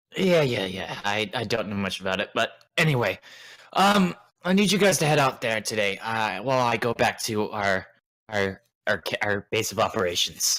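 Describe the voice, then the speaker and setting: A man does a put-on character voice that is raspy, at medium pitch with lively intonation and a moderate pace. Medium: actual play. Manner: hesitant, full of filler words.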